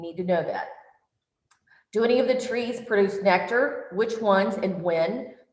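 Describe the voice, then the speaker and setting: Audible room echo surrounds a woman speaking at a moderate pace with a fairly high pitch and ordinary pitch variation. Her loudness swings widely, and she takes long, frequent pauses. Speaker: workshop presenter. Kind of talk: online workshop lecture. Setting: virtual workshop.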